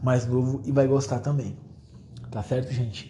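A man with a medium pitch and a dark, mellow, somewhat breathy tone speaks at a moderate pace, with room echo audible. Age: 20s. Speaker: history teacher, podcaster. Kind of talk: solo casual podcast monologue. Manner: hesitant, many fillers.

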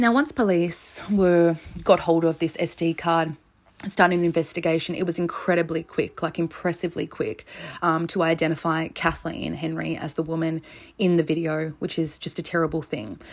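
Captured in a very clean recording with a silent background, a woman with an Australian accent speaks at a moderate pace in a fairly low voice with fairly even intonation. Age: 30s. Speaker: true crime podcast host. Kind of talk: solo podcast narration. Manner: casual, conversational.

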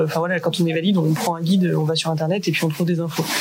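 A woman speaks very fast in a fairly low voice. Her intonation is flat and monotone, with noticeable background noise. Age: 30s. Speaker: adventurer and association co-founder. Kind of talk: casual interview. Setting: radio studio.

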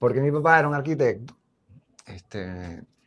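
A man at a moderate pace with lively intonation. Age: 60s. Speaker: visual artist and anthropologist. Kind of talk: interview. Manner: halting.

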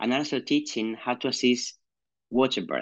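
Against a quiet background, a man with a Spanish accent talks at a moderate pace and medium pitch with ordinary variation. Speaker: midwife, podcast host. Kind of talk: interview.

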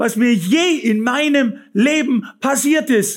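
A man with a Bavarian accent speaks at an extremely high pitch, his intonation lively. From Bavaria, Fürstenfeldbruck near Munich. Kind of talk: testimony.

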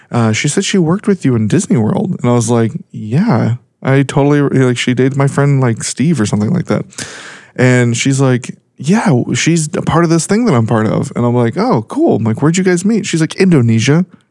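A man speaks fairly quickly in an ordinary speaking voice, pitched fairly high. His intonation is lively and his loudness very even. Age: 30s. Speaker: podcast co-host. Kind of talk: casual chat. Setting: studio.

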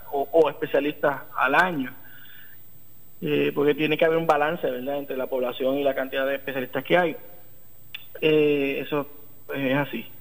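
Against noticeable background noise, the speaker keeps a monotone, flat intonation at a moderate pace, with long, frequent pauses. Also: man, fairly high pitch for a man. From Puerto Rico, Arecibo. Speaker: neurosurgeon. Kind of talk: interview. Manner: halting, many fillers.

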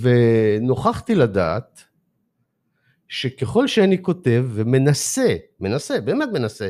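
Over a very clean recording with a silent background, a man talks at a fairly slow pace, his pitch swinging very widely. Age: 60s. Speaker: author and life coach. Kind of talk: interview. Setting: studio. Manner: halting.

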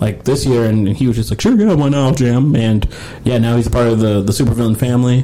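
Amid noticeable background noise, a man at medium pitch talks at a very fast pace with fairly even intonation. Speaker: guitarist and composer. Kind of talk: casual chat.

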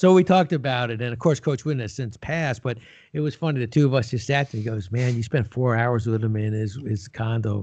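A man with an American accent talks at a very fast pace in a medium pitch, his somewhat breathy voice showing ordinary pitch variation over a quiet background. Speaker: business executive and author. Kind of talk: interview.

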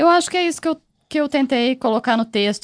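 In a normal speaking voice, a woman talks at a fairly quick pace with lively intonation, recorded with a dry, close sound, no echo, and a quiet background. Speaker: podcast producer. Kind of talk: casual chat.

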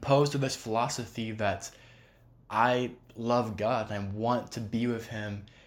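Speaking at a fairly slow pace, a man keeps a monotone, flat delivery at a medium pitch. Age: 20s. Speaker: religious podcast host. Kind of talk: solo devotional talk. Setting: recording at home table. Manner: casual, rambling.

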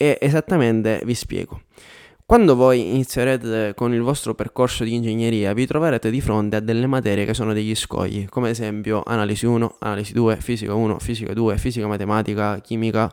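An ordinary speaking voice from a man at a medium pitch moves at a fairly quick pace with fairly even intonation, on a very clean recording with a silent background. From Sicily, Catania area. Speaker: YouTuber and engineer. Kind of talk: advice monologue to camera.

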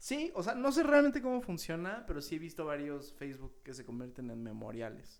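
The speaker has a Mexican accent and talks at a fairly quick pace. Loudness swings widely, and the pitch swings are very wide. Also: man, fairly high pitch for a man. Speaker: podcast co-host. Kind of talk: casual chat.

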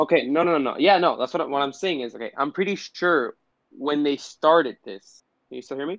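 A man with a Puerto Rican accent speaks at a fairly quick pace and a fairly high pitch, with ordinary pitch variation. His loudness swings widely, and the sound is dry and close with no echo. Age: 20s. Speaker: podcast co-host. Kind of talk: casual chat.

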